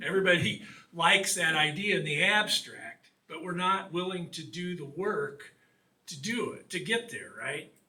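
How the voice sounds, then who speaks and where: A voice in a Midwestern US accent with big swings in loudness. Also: man, high pitch for a man, ordinary pitch variation, moderate pace. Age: 60s. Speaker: author and water quality advocate. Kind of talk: public talk.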